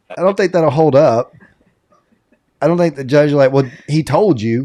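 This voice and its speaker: Speaking with a Southern US accent, a man has a fairly high pitch, a dark, mellow tone, ordinary pitch variation and a moderate pace. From US South, rural South Carolina. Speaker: podcast co-host. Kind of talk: casual chat. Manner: animated.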